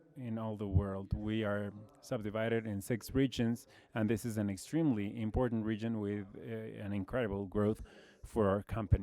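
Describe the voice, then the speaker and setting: A man's medium-pitched voice with a Brazilian accent, dark, mellow tone and moderate pace. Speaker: logistics executive. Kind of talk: conference presentation.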